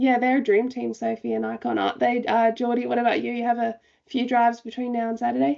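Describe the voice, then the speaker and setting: A woman with an Australian accent speaks at a very fast pace. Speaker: racing show host. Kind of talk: casual panel chat.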